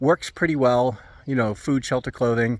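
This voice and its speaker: Here a man speaks at a moderate pace with a medium pitch and ordinary pitch variation. The recording is very clean and dry, close, with a silent background and no echo. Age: 60s. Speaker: family counselor and parent coach. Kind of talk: casual talking-head video. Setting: outdoors in backyard. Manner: halting, many fillers and restarts.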